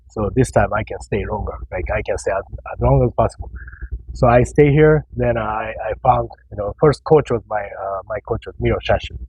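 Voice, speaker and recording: Moderate-paced speech in a Japanese accent, with big swings in loudness and noticeable background noise. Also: man. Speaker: professional bodybuilder. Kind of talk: casual interview chat. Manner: halting, with many repeated words.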